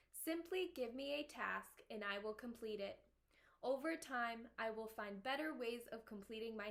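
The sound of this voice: The clip features an unforced reading voice with ordinary pitch variation.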